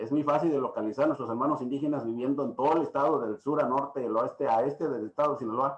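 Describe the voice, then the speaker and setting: A man with an Oaxacan accent talks at a very fast pace with hardly any pauses. His pitch is fairly high and his intonation fairly even. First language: Triqui (speaking Spanish). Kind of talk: lecture. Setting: video call. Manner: halting.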